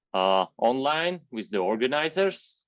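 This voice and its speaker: A man with a non-native accent talks at a fairly slow pace with ordinary pitch variation, recorded in a dry, close sound with no echo. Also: quiet background. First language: not English. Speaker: software engineer and workshop speaker. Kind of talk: online technical workshop. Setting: video call. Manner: halting, many fillers.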